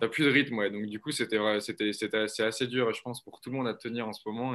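Bright and sharp in tone, a man's fairly low voice moves at a fairly quick pace. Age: 20s. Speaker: startup founder. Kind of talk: interview. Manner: halting.

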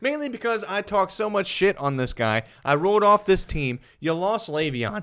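A man's high-pitched voice with a bright, sharp tone, very wide pitch swings and a moderate pace. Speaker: football podcast host. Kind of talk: casual chat. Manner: loud; animated.

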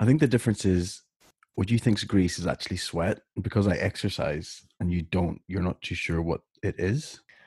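Against a quiet background, a man talks at a moderate pace in a somewhat breathy, fairly low voice. The sound is dry and close with no echo. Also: ordinary pitch variation. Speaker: podcast co-host.

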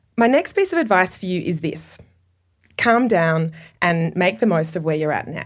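A woman with an Australian accent speaks with lively intonation and fairly low pitch in a very clean recording with a silent background. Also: moderate pace. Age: 30s. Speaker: radio documentary producer. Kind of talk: reading a letter aloud to an audience. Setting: stage with audience.

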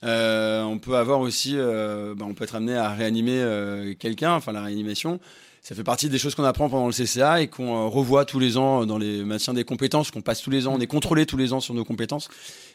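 Talking at a fairly quick pace, a man has an unremarkable speaking voice of medium pitch with ordinary pitch variation. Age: 30s. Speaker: flight attendant. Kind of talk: casual chat.

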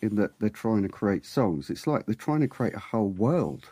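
A man with a British accent swings his pitch very widely in a dry, close recording with no echo. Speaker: podcast co-host. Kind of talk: casual podcast chat.

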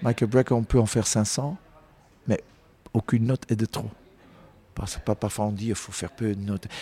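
Somewhat breathy and dark, mellow in tone, a man at a medium pitch keeps a moderate pace and fairly even intonation, with long, frequent pauses in a dry, close recording with no echo. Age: 50s. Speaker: jazz singer. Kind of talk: interview conversation. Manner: halting, with many repetitions.

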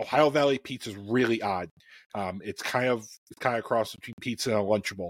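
Talking at a very fast pace, a medium-pitched man with an American accent shows ordinary pitch variation in a dry, close sound with no echo. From US Midwest, Chicago. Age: middle-aged. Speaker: cookbook author and engineer. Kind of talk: casual chat. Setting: online live stream.

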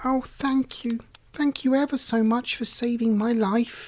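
In a squeaky, high-pitched put-on character voice, a female-sounding speaker talks at a moderate pace. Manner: grateful.

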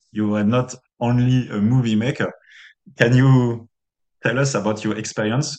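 This man speaks at a moderate pace in a medium pitch. His intonation is monotone and flat, broken by long, frequent pauses. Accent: French. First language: French. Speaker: podcast host. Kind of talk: interview.

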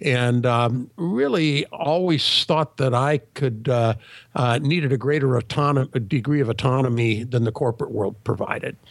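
A man with a plain, everyday voice, a medium pitch, ordinary pitch variation, a moderate pace and very even loudness. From California. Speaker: leadership consultant. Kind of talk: interview.

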